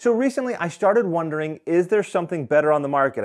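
With a quiet background, a man talks using lively intonation. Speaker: hunting gear reviewer. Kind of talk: gear review talk. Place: home room. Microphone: lapel.

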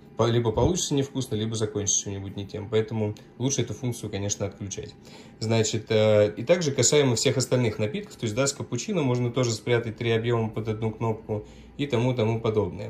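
Light background noise sits behind a man who talks at a very fast pace with fairly even intonation. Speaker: coffee machine seller. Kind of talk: tutorial. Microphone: phone near.

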